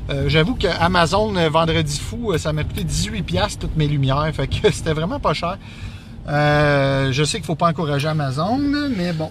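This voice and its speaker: A man talks at a fairly high pitch with lively intonation, his voice carrying audible room echo over noticeable background noise. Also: moderate pace. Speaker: podcast co-host. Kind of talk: casual chat. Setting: in a car.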